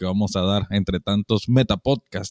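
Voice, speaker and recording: In a very clean recording with a silent background and a dry, close sound with no echo, a man with a Nicaraguan accent speaks at a fairly slow pace. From Managua, Nicaragua. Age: 30s. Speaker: podcast co-host. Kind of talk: casual chat.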